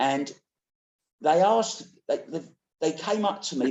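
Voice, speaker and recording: The speaker is a man with a British accent. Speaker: pool commentator. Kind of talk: casual interview chat.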